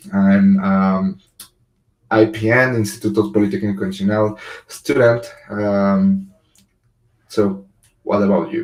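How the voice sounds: With a fairly low pitch and a slightly mellow tone, a man speaks at a fairly slow pace, showing little pitch movement and long, frequent pauses.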